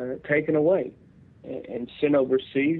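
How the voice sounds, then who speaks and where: With a Tennessee accent, a man speaks at a moderate pace. His voice is fairly high, with fairly even intonation. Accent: Southern US (Tennessee). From Tennessee, Nashville. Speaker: union veterans advocate, Marine veteran. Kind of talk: radio interview.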